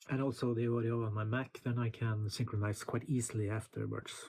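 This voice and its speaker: A man with a Norwegian accent talks at a moderate pace and medium pitch in a flat monotone. His tone is dark and mellow, and somewhat breathy. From Norway. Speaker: music producer and YouTuber. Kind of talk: casual tutorial. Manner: halting, many fillers.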